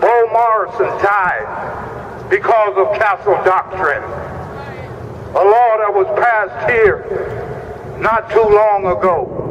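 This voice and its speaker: Against noticeable background noise, a man speaks at a high pitch with fairly even intonation. His pace is very slow, with long, frequent pauses. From Mississippi. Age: 60s. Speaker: activist and veteran. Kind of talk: rally speech. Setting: outdoor rally at the Capitol. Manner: impassioned.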